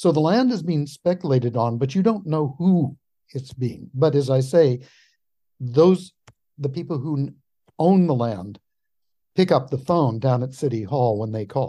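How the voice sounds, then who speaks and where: Somewhat breathy and dark, mellow in tone, a man with an American accent and fairly high pitch speaks at a moderate pace with lively intonation and long, frequent pauses. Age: 70s. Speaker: historian. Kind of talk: interview.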